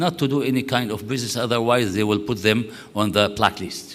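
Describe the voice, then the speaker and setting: A man speaks in an Arabic accent at a medium pitch. Audible room echo surrounds his voice. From Syria. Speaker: conference speaker. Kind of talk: conference talk. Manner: halting.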